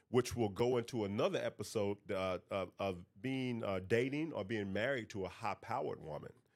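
A man with an American accent, medium in pitch, at a fairly quick pace with ordinary pitch variation. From North Carolina. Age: 40s. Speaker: podcast host. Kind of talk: casual monologue.

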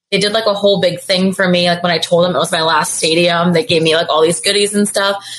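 Talking at a very fast pace, a woman uses a medium pitch and ordinary pitch variation. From India. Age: 20s. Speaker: contestant. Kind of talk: casual chat. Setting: video call.

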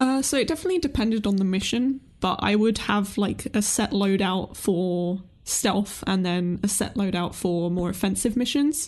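A woman with an ordinary speaking voice talks at a moderate pace and medium pitch, with lively intonation. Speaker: video game YouTuber. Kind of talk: casual podcast discussion.

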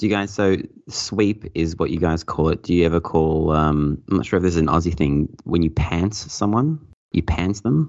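A man with a very deep, low pitch and an Australian accent speaks at a moderate pace with very even loudness and ordinary pitch variation. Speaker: podcast guest and pinball fan. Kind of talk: casual chat.

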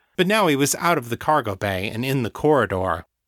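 Words are read out loud in a natural voice.

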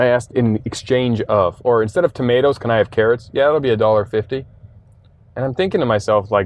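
In an ordinary speaking voice, a man talks at a fairly quick pace with a medium pitch and ordinary pitch variation. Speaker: entrepreneur. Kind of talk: casual interview. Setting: in a shop.

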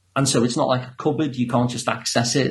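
A somewhat breathy man with a Liverpool accent and fairly even intonation. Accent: Liverpool (Scouse). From Liverpool, England. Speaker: psychotherapist. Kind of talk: interview.

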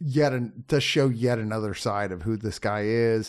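With an unremarkable speaking voice, a man talks at a medium pitch and moderate pace against a quiet background. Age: 50s. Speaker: film critic. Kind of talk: casual chat.

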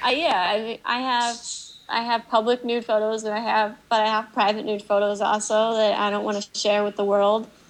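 The voice stays monotone, with flat intonation. It moves at a moderate pace. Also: woman, fairly high pitch for a woman. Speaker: naturist blogger. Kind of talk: casual chat.

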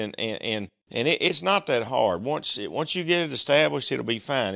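Vocal fry runs through a man's bright, sharp voice. He moves at a fairly quick pace with very wide pitch swings. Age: 50s. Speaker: greenhouse owner. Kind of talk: casual interview.

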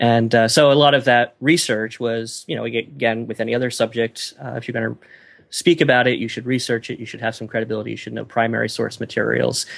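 This man talks at a very fast pace with vocal fry. His loudness swings widely. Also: medium pitch for a man, ordinary pitch variation. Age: 30s. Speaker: professor and podcaster. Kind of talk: interview. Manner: halting, many fillers.

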